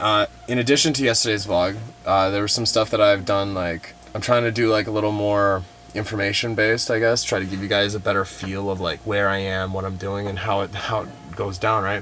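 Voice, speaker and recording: Against light background noise, a man with a normal speaking voice talks at fairly low pitch and a fairly quick pace with fairly even intonation. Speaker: travel vlogger. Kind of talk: casual vlog chat. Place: car.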